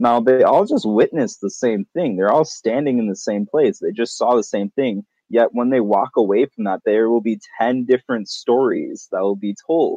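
A man speaks with an ordinary speaking voice in an American accent. His pace is moderate and his intonation lively. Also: medium pitch for a man. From US Upper Midwest (Wisconsin/Minnesota). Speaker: roundtable guest, water energizing enthusiast. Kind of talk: casual chat.

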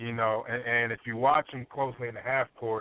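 At a moderate pace, a man talks with fairly even intonation and a medium pitch. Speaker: sports analyst. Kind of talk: casual sports talk. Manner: halting, many fillers.

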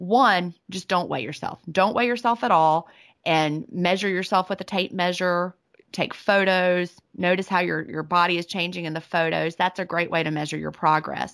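In a very clean recording with a silent background, a woman speaks at a moderate pace and a fairly low pitch with fairly even intonation. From US South. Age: 40s. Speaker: author and retired teacher. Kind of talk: interview.

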